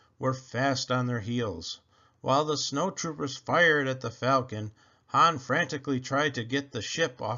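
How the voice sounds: What you hear is a natural reading voice.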